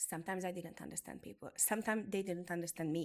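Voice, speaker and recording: The speaker has a Hungarian accent and fairly even intonation. The recording is very clean, with a silent background. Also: woman. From Hungary. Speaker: beauty business educator. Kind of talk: motivational talk.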